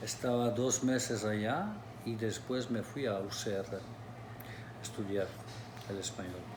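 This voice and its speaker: A man with a Turkish accent speaks at medium pitch and a very slow pace with fairly even intonation, amid noticeable background noise and audible room echo. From Turkey, Istanbul. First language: Turkish (speaking Spanish). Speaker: restaurant owner. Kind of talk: interview.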